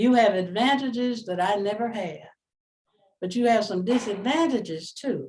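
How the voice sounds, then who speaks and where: A woman with an American accent, a dark, mellow tone, fairly high pitch and a moderate pace. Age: 70s. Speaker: retired professor. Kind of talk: motivational talk.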